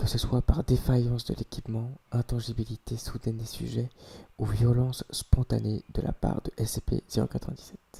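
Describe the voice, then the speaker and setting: The voice is somewhat breathy with a dark, mellow tone and fairly even intonation, recorded dry and close with no echo. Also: man. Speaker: ASMR creator. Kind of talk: reading aloud. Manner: whispered ASMR delivery; occasional stumbling.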